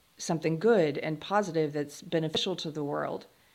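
Speaking with an American accent, a woman has a very deep, low pitch. Her pace is moderate and her pitch variation ordinary. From US South, South Carolina. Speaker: writer and podcast host. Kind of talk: interview conversation. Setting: video call.

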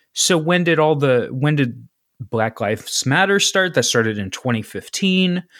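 Pitch swinging very widely, a man with a Midwestern American accent and a fairly high voice speaks at a moderate pace in a very clean recording with a silent background. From Ohio, east of Cincinnati. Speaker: podcast host. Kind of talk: casual chat.

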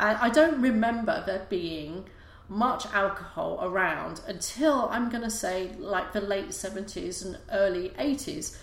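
Over noticeable background noise and audible room echo, a woman speaks very slowly. Her pitch is medium, and her intonation is lively. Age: 40s. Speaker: podcast host. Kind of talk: casual monologue. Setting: live YouTube broadcast. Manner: hesitant, many fillers.

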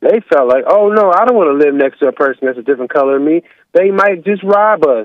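A man with an American accent talks at a very fast pace in a high pitch. His loudness stays very even throughout. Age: 30s. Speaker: caller. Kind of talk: heated debate. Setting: phone call.

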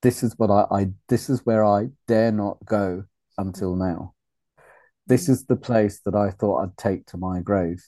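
In a British accent, a man speaks with a fairly low pitch and a dark, mellow tone. His pace is moderate, his pitch varies in an ordinary way, and the background is quiet. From Uganda, raised in UK. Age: 50s. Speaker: men's group facilitator. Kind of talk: casual chat.

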